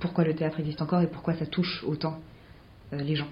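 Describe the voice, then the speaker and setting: A woman with a very deep, low pitch speaks fairly quickly in a somewhat breathy voice, her intonation monotone and flat. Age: 20s. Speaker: playwright and actress. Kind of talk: interview.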